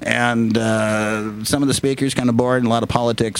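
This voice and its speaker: A man talks fairly quickly with an American accent while noticeable background noise plays behind him. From Lakewood, Washington (US Pacific Northwest). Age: 50s. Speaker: broadcaster and political satirist. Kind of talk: casual chat.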